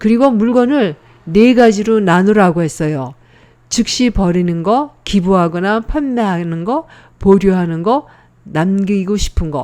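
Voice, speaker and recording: A woman's medium-pitched voice, dark and mellow in tone, at a fairly slow pace. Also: lively intonation. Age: 70s. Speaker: senior tech tutorial host. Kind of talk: casual tutorial talk to camera. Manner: friendly, conversational.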